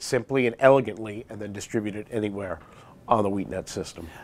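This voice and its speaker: Fairly quick delivery from a man, pitch shifting in an ordinary way. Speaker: guest. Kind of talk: interview answer. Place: studio.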